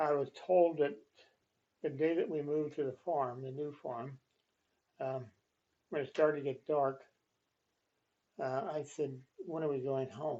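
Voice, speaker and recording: With a dark, mellow tone and a fairly high pitch, this man talks at a fairly slow pace in fairly even intonation, leaving long, frequent pauses. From Pennsylvania, Cumberland County. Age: 90s. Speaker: retired farmer and township employee. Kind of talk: casual interview. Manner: halting.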